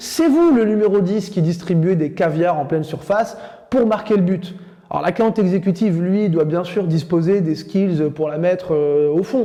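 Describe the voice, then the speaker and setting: A man with a high pitch and a dark, mellow tone speaks at a fairly slow pace with ordinary pitch variation. There is audible room echo. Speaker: sales trainer. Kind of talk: lecture.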